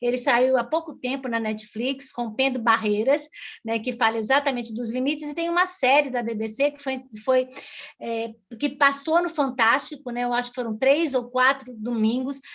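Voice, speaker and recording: Speaking at a moderate pace over a quiet background, a woman uses a high pitch and fairly even intonation. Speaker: environmental law speaker. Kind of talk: online lecture presentation. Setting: live stream webinar. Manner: halting with many fillers.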